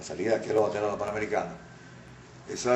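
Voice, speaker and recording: This is a man speaking. Noticeable background noise runs beneath his voice. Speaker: radio announcer and journalist. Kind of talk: interview answer.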